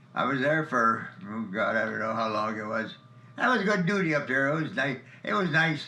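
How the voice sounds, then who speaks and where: A man with an American accent talks in a fairly high pitch with very wide pitch swings. Audible room echo and noticeable background noise are present. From Ohio, US Midwest (Elyria, Hungarian neighborhood). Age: 90s. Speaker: war veteran. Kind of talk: interview. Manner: halting.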